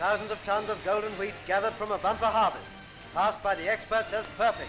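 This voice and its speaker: A man with a British accent and a high pitch, very fast and flat in a monotone, music in the background. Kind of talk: patriotic wartime newsreel narration.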